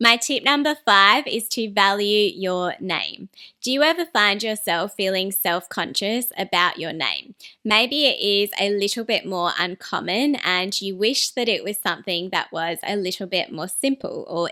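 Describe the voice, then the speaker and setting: A woman with an Australian accent and a bright, sharp tone, lively intonation, and hardly any pauses, on a very clean recording with a silent background. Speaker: personal branding YouTuber. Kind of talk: scripted talking-head video.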